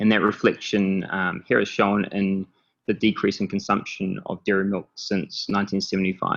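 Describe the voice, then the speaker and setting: Speaking in a New Zealand accent, a man with a fairly low pitch delivers his words at a moderate pace with monotone, flat intonation. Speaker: startup founder and CEO. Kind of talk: presentation. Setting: online call. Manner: many filler words (um, uh).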